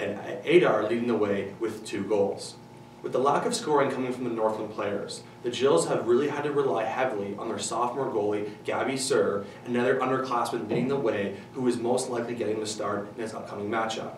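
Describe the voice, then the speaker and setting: Music plays in the background as the speech runs at a fairly quick pace with fairly even intonation and audible room echo. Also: man. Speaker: presenter. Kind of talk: sports news report. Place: studio.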